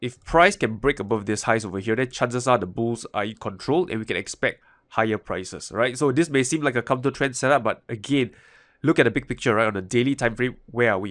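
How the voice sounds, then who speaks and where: A man at medium pitch, very fast pace, and ordinary pitch variation. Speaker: trading educator. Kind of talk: market analysis talk to camera.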